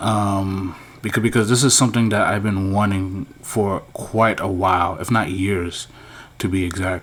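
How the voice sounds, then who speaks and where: The speaker goes at a fairly slow pace with fairly even intonation while noticeable background noise runs underneath. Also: man, fairly low pitch for a man. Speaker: YouTuber commenting on movie news. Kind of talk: casual vlog commentary. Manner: halting, many fillers.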